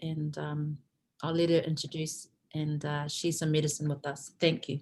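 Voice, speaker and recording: With a New Zealand accent, the speaker talks at a moderate pace in a flat, monotone way that is somewhat breathy. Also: woman, very deep, low pitch for a woman. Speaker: spiritual teacher and event host. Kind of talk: online event hosting. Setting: video call.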